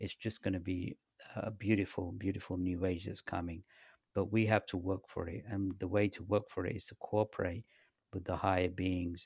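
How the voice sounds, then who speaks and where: A man with a very deep, low pitch talks at a moderate pace in a monotone, flat delivery, somewhat breathy. The sound is dry and close with no echo, on a very clean recording with a silent background. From England (north, then east London). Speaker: spiritual author. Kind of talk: interview.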